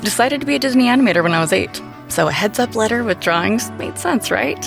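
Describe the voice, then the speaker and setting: Over background music, a medium-pitched woman with an American accent speaks fairly quickly, her pitch swinging very widely. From United States. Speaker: voice actor. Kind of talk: TV commercial read.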